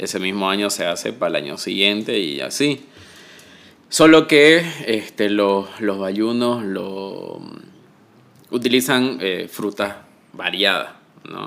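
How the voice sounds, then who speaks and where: The speaker goes at a very slow pace with long, frequent pauses and lively intonation. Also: man, fairly low pitch for a man. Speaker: podcast host. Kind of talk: casual interview. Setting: in person, recorded together.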